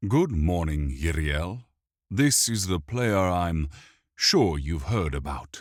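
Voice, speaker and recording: On a very clean recording with a silent background, a man speaks very slowly in a put-on character voice pitched very deep and low. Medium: read story. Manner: warm, wry, knowing.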